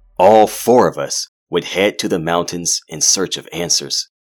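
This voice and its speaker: A man with a very deep, low voice talks at a fairly slow pace, his pitch varying in an ordinary way, over background music in a dry, close recording with no echo. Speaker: horror fiction narrator. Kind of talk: scripted horror fiction narration, first-person. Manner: dramatic, brooding, theatrical.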